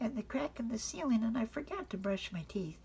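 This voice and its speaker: Noticeable background noise surrounds this woman's voice. She talks fairly slowly. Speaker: grandmother reading to grandchildren. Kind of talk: children's bedtime story reading.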